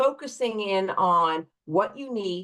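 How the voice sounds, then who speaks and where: A woman speaks in a normal speaking voice at a medium pitch. Her intonation is lively. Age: 60s. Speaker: divorce attorney. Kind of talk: interview.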